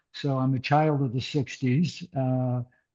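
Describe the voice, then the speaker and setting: A man's medium-pitched voice, dark and mellow in tone, with monotone, flat intonation. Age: 80s+. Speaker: artist. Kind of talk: artist talk. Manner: halting, many fillers.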